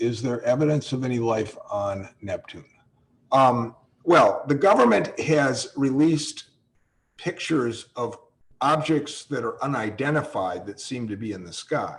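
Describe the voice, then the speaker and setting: Somewhat breathy and at medium pitch, a man with an American accent speaks with lively intonation and big swings in loudness. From US Midwest. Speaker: astronomy professor. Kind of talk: webinar Q&A. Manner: hesitant, repeats words.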